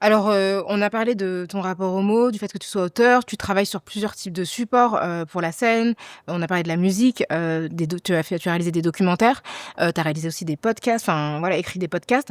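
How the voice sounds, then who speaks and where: In an ordinary speaking voice, a woman talks at a fairly quick pace and medium pitch with ordinary pitch variation, on a very clean, dry, close recording with no echo and a silent background. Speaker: journalist, podcast host. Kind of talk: podcast interview questions.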